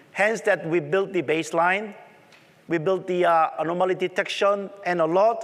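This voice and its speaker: Speaking at a moderate pace, a man with a strong Korean accent has a high pitch. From South Korea. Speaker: tech conference presenter. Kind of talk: conference talk.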